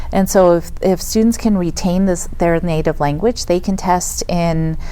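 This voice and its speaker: Against noticeable background noise, the speaker keeps a very even loudness, a moderate pace and fairly even intonation. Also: woman, fairly low pitch for a woman. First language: Spanish. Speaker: school district director, former principal. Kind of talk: podcast interview. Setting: studio.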